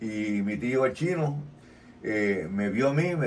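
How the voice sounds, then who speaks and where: Room echo is audible as a man with a Puerto Rican accent talks with lively intonation. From Puerto Rico. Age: 70s. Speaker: retired pro wrestler. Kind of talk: interview.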